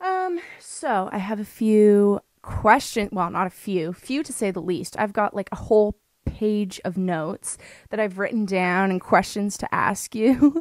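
A woman at a fairly slow pace with ordinary pitch variation, against a quiet background with a dry sound and no echo. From Canada. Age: 20s. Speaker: podcast host. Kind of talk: casual chat. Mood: cheerful, casual. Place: home room. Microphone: studio mic.

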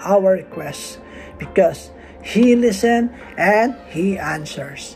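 A man's high-pitched, slightly mellow voice with faint music in the background.

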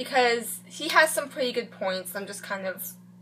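Someone speaks in a raised, projected voice at a fairly slow pace. Pitch varies in an ordinary way, with light background noise. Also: woman. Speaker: reaction vlogger. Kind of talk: casual vlog chat. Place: home room. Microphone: webcam.

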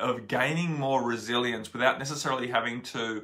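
A man with ordinary pitch variation over a quiet background. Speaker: spiritual teacher. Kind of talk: casual vlog chat. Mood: calm, earnest. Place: home room. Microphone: phone near.

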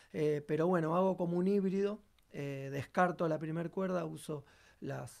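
A man at a fairly high pitch and a fairly slow pace, with fairly even intonation, against a quiet background. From Argentina. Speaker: bassist and singer; guest. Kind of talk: tutorial. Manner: halting, many fillers. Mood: calm, explanatory. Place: studio.

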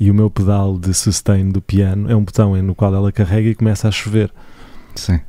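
Speaking at a moderate pace in a dry, close sound with no echo, a man keeps a fairly low pitch, monotone, flat intonation and very even loudness. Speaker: musician and podcast co-host. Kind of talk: casual chat. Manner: soft and calm.

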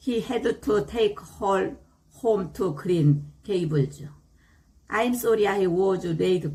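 Very slowly, a woman talks at medium pitch in a dark, mellow tone, somewhat breathy, with lively intonation. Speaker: English learner. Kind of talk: reading aloud.

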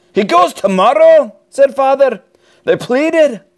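A man is speaking. He has a Scottish accent. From Scotland. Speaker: dad reading stories. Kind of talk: children's book read-aloud. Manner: energetic.

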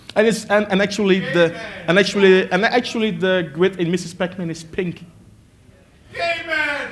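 Moderate pace and ordinary pitch variation. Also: man, high pitch for a man. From Belgium. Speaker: IT worker and arcade collector. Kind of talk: lecture. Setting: stage with audience. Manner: halting. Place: hall.

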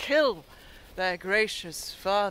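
A woman speaks at a moderate pace with very wide pitch swings. The sound is dry with no echo. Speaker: actor performing a monologue. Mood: intense, ironic, theatrical. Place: forest. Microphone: phone near.

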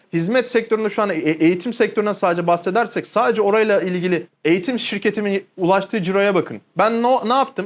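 Speaking at a fairly quick pace with hardly any pauses, a man uses a high pitch, ordinary pitch variation and very even loudness on a very clean recording with a silent background. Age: 20s. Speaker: online business coach. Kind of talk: educational monologue. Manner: animated.

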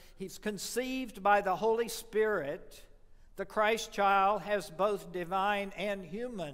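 Against a quiet background, a man speaks at a very slow pace with a high pitch and ordinary pitch variation. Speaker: preacher. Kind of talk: sermon. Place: church.

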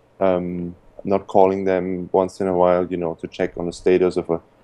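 At a moderate pace, this voice has a dark, mellow tone, fairly even intonation and a German accent. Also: man. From Austria. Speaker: importing entrepreneur. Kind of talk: interview.

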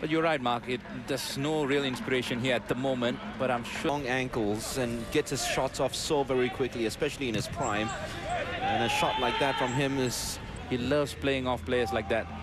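Over noticeable background noise, a man with an animated tone speaks at a medium pitch, with ordinary pitch variation and very even loudness. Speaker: football match commentator. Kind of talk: sports commentary. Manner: animated, fast-paced play-by-play.

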